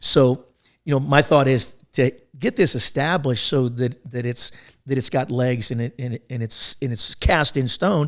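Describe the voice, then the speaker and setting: Medium pitch, ordinary pitch variation and a moderate pace from a man with a plain, everyday voice, recorded very cleanly against a silent background. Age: 60s. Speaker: podcast host and business consultant. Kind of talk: casual chat.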